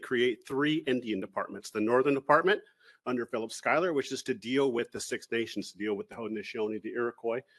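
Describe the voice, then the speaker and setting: A man's medium-pitched voice at a very fast pace, with ordinary pitch variation and a dry, close sound with no echo. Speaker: historian and preservation official giving a talk. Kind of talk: lecture. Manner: animated.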